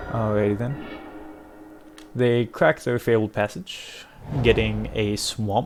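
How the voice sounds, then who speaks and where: Music plays in the background as a man speaks at a very slow pace. He leaves long, frequent pauses. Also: medium pitch for a man, ordinary pitch variation. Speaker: gaming content creator. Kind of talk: gameplay commentary. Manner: casual, thinking aloud.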